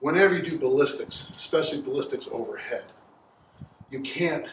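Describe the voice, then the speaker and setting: A man talks at a moderate pace, with light background noise and room echo both audible. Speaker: strength coach. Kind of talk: tutorial. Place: garage. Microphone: camera far.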